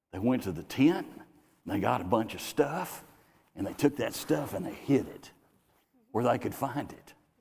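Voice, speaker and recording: This man's pitch rises and falls across a very wide range. He talks at a moderate speed, his voice showing vocal fry. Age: 60s. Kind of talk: sermon. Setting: church.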